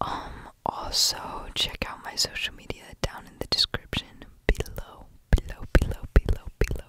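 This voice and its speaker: The whispering moves along at a fairly slow pace. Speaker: ASMR creator. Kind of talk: soft ASMR whisper talk. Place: home room. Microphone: studio mic.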